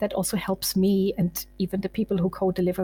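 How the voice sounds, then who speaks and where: A woman with a German accent at a fairly quick pace. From Germany. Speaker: sales enablement manager. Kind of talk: interview.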